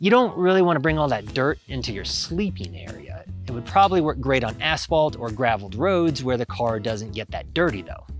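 Over faint music in the background, a man talks at a fairly quick pace with hardly any pauses, in a dry sound with no echo. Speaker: gear reviewer. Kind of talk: product review talk to camera. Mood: upbeat, joking. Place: forest. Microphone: lapel.

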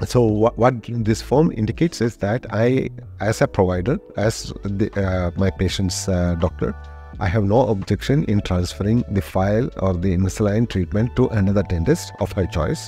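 A man's fairly low voice with ordinary pitch variation, faint music in the background. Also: moderate pace, dry sound with no echo. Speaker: guest. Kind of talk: interview answer. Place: studio. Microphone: studio mic.

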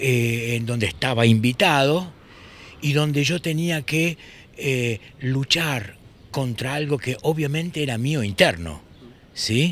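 Pausing often and at length, a man with a fairly high voice speaks very slowly, his pitch varying in an ordinary way. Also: dry sound with no echo. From Buenos Aires, Argentina. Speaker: poet, musician and screenwriter. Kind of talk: interview answer. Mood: thoughtful, emotional recollection. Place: street. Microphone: handheld.

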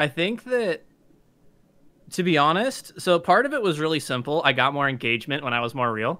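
Bright and sharp in tone, the voice moves at a fairly quick pace with very wide pitch swings. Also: man, fairly high pitch for a man. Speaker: artist and YouTuber. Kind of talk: casual interview. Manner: fast talker. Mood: candid, self-deprecating, animated. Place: home room.

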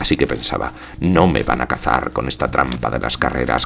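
Noticeable background noise sits behind a man whose speech has ordinary pitch variation. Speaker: actor, theatre director and audiobook narrator. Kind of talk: literary audiobook reading, first-person narration.

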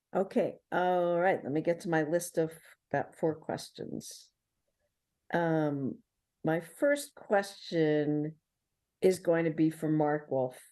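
A woman with a New York accent speaks at a very slow pace, with long, frequent pauses, over a quiet background. Her pitch is fairly low, with ordinary variation and a dark, mellow tone. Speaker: city council member. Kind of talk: public meeting questions.

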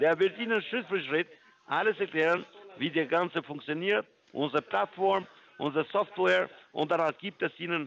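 With a non-native accent, a man speaks at a moderate pace in a fairly high pitch, showing ordinary pitch variation and vocal fry. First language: not German (speaking German). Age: 50s. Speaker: scam caller posing as trading firm support. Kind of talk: sales pitch. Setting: phone call. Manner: halting.

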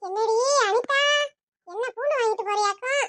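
A squeaky, cartoonish character voice from a woman, extremely high in pitch, with ordinary pitch variation and a fairly slow pace. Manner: casual, calls others di.

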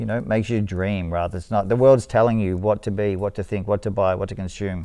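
Over a quiet background, a man with an Australian accent talks at a fairly quick pace in a dark, mellow tone, his pitch fairly low with ordinary variation. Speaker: street artist and painter; interviewee. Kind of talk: casual interview. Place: studio. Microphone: lapel.

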